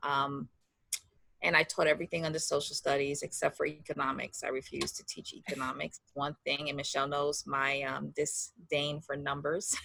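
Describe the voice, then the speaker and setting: In a New York accent, a woman with a very deep, low pitch and a bright, sharp tone speaks at a moderate pace with monotone, flat intonation and big swings in loudness. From New York City, the Bronx. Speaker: educator, cancer survivor. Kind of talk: interview.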